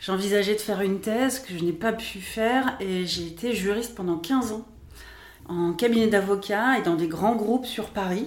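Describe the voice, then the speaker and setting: Audible room echo around a moderate pace and ordinary pitch variation. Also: woman, medium pitch for a woman. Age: 40s. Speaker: astrologer and spiritual therapist. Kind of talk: podcast interview.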